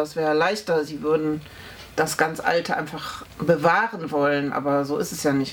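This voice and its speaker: A woman at a moderate pace with fairly even intonation, over noticeable background noise. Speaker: historian. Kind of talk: oral history interview.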